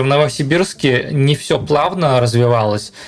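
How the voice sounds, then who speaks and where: Against noticeable background noise, a man with a medium pitch talks at a fairly slow pace. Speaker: software architect. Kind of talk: casual interview.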